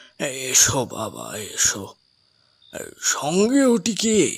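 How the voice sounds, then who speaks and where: A man's raspy, high-pitched put-on character voice. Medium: audio drama. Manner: soft, gentle, unhurried.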